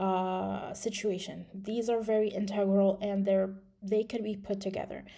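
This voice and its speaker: A woman speaks at a medium pitch with a dark, mellow tone. Her pace is moderate and her intonation monotone and flat. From Morocco. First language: Moroccan Arabic (Darija). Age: 20s. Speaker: English teacher. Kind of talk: video presentation. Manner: halting, many fillers.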